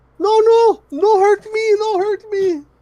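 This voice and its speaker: The voice is a put-on character voice, squeaky and extremely high in pitch. It moves at a fairly slow pace. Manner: pleading, fearful.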